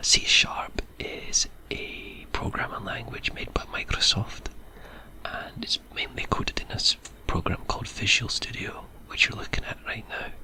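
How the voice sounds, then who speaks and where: Whispering with a Scottish accent at a fairly slow pace, amid noticeable background noise. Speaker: ASMR creator. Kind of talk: ASMR programming tutorial. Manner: soft-spoken.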